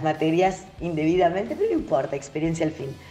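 Very fast speech from a woman, noticeable background noise behind it. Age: 40s. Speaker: radio presenter. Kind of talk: recorded voice message.

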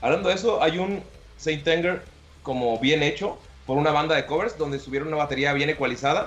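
Noticeable background noise accompanies a man with a Mexican accent who speaks at a fairly quick pace, with a fairly high pitch and ordinary pitch variation. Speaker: podcast host. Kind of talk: casual chat.

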